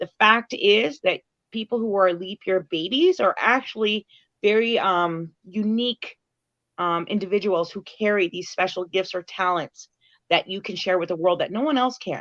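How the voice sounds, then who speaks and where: Against a quiet background, a woman speaks in an ordinary speaking voice at medium pitch and moderate pace, with ordinary pitch variation and a dry, close sound with no echo. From Canada. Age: 40s. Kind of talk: casual interview chat.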